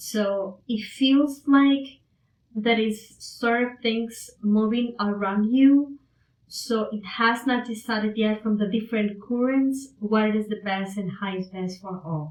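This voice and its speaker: Speaking very slowly, a woman has a non-native accent. Her pitch is fairly high, with ordinary pitch variation. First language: not English. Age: 50s. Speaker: spiritual channeler. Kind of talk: livestream psychic reading. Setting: live stream.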